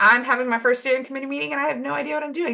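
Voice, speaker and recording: A woman's fairly high voice, bright and sharp in tone, with vocal fry. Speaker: volunteer branch leader presenting. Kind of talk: webinar presentation. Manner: fast.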